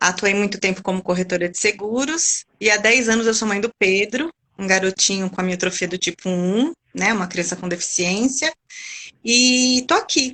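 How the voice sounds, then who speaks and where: This woman has a normal speaking voice at a medium pitch. She talks at a moderate pace with ordinary pitch variation. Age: 40s. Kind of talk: interview chat.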